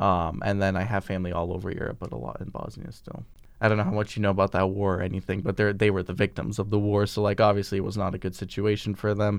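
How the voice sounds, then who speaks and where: A man talks at a very fast pace with vocal fry and a fairly low pitch. The background is quiet. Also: fairly even intonation. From US, born to Bosnian immigrant parents. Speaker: college student. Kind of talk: personal storytelling interview.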